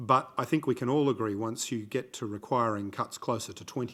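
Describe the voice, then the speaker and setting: A man's medium-pitched voice in an Australian accent, ordinary pitch variation, fairly quick pace, very clean recording with a silent background. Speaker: conference discussant, former ambassador. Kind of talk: conference talk. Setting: conference room with audience. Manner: frequent fillers and hesitations.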